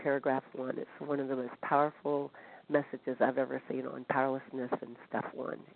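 In an American accent, a woman speaks at a moderate pace with a very deep, low pitch. Her intonation is monotone and flat. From Northern California, US. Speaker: support group member. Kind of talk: testimony. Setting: phone call.

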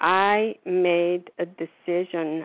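A woman's normal speaking voice, fairly low in pitch, with ordinary pitch variation. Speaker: recovering overeater sharing at meeting. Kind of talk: recovery meeting share. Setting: phone call.

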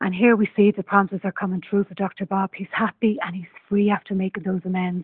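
A woman with an Irish accent, medium in pitch, very fast, and flat and monotone throughout. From Ireland. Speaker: twelve-step meeting member. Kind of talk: personal share in support group. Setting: phone call.

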